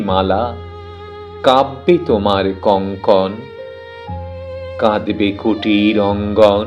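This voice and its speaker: Music plays in the background while a man speaks with a fairly low pitch. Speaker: poetry reciter. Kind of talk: poetry reading. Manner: emotional, expressive, measured pauses.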